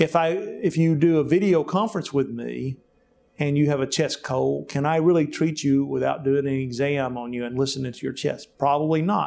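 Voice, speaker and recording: With a Southern US accent, a man speaks at a moderate pace in a fairly high voice with ordinary pitch variation. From US South, rural Alabama. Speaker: physician. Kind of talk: interview. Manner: halting, with many fillers.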